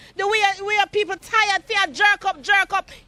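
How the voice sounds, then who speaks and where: Delivered at a moderate pace, this animated voice comes with a Jamaican accent. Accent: Jamaican Patois. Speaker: resident protesting bad roads. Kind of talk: street interview.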